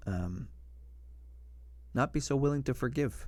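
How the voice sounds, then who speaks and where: A man's voice, very cleanly recorded, with total silence behind it. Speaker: live streamer. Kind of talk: motivational talk on livestream. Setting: live stream. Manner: fast.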